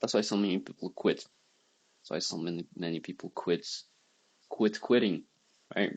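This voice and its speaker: Quiet, with a non-native accent, a man speaks at a moderate pace, leaving long, frequent pauses and making big swings in loudness. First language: not English. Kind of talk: casual talk to camera.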